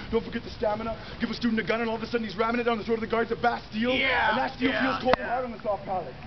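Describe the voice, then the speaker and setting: Amid noticeable background noise, a man speaks at a very fast pace with an extremely high pitch. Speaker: spoken word poet. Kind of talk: spoken word poetry performance. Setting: live performance, outdoors or public space. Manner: fast, rhythmic.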